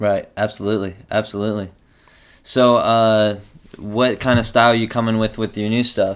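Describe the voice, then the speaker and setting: A man's fairly low-pitched voice, with monotone, flat intonation. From rural area. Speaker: interviewer. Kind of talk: casual chat.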